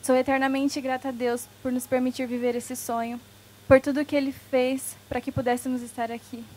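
A woman talks with a high pitch. Her pace is moderate. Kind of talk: wedding vows reading. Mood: emotional, tender. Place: garden. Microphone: handheld.

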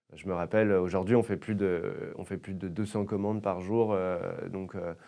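Moderate-paced speech from a man, with a quiet background. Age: 20s. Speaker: startup founder. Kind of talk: interview. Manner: halting, many fillers and repetitions. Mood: calm, friendly. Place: studio. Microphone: lapel.

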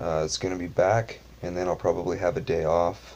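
At a fairly quick pace, a man speaks in a very deep, low voice with fairly even intonation. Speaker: vlogger. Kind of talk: casual vlog chat. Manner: relaxed, low bedtime voice. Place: home room. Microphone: webcam.

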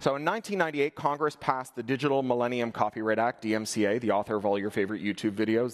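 Against a quiet background, a man talks at a very fast pace with ordinary pitch variation. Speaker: conference keynote speaker. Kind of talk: keynote talk. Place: stage.

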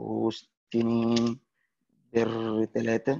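Against light background noise, a man speaks with an Egyptian accent. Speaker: networking instructor. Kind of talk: tutorial. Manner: casual. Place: classroom.

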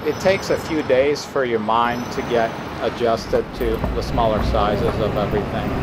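Noticeable background noise sits behind speech delivered at a moderate pace. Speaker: traveler vlogger. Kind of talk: casual vlog chat. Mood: impressed, cheerful. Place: street. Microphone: phone near.

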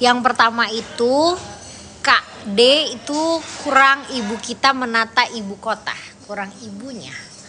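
A woman with a high voice speaks at a fairly slow pace. Her loudness swings a lot over light background noise. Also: ordinary pitch variation. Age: 20s. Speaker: politician. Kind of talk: livestream chat with viewers. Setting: TikTok livestream. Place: home room. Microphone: phone near.

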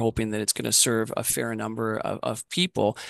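A man with a plain, everyday voice speaks at a moderate pace and medium pitch, dry with no echo, over a quiet background. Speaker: nonprofit president and CEO. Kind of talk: answering audience questions. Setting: video call. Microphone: headset.

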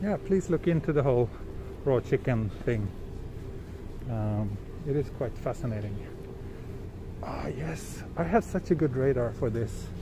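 Amid noticeable background noise, a man talks at a fairly slow pace with long, frequent pauses and very wide pitch swings. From Western country, not Japan. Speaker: travel livestreamer. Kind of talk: live walking stream with chat. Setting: outdoors on city streets. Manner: casual, hesitant with fillers. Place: street. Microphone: phone near.

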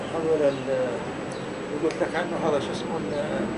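A man is speaking. Loud background noise runs behind him. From Palestine, Tall al-Safi village near Hebron. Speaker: Nakba refugee, oral history witness. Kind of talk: interview answer. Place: home room.

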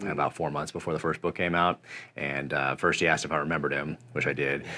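Very fast and fairly even in intonation, a man's very deep, low voice carries vocal fry and a bright, sharp tone. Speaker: interview guest. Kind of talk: interview answer. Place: home room.

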